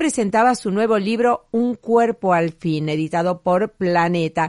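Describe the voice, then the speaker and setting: Over a quiet background, a woman talks at a medium pitch and a fairly slow pace. Her pitch swings very widely, and the sound is dry and close with no echo. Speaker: radio host. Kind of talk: radio show narration, year-end review.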